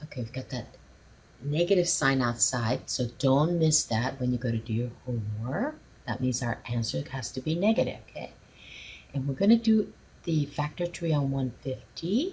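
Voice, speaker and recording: A woman speaks in a very deep, low voice that swings very widely in pitch and sounds somewhat breathy. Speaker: math teacher. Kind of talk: tutorial.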